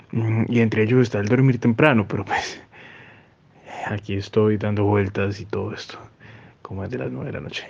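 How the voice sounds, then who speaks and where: A man with a fairly low pitch talks fairly quickly, with long, frequent pauses and big swings in loudness. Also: ordinary pitch variation. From Colombia, Cauca. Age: 20s. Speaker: listener sending voice message. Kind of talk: recorded voice message. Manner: halting, many fillers.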